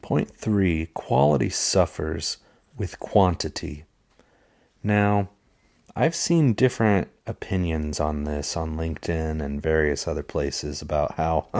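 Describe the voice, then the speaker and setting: A man's very deep, low voice at a fairly slow pace, with ordinary pitch variation. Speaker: podcast host. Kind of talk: podcast monologue.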